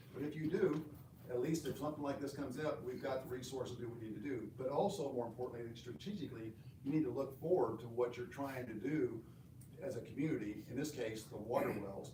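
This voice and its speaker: Over noticeable background noise and audible room echo, a man talks at a very fast pace with ordinary pitch variation. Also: medium pitch for a man. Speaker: city manager. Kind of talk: council workshop presentation. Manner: loud.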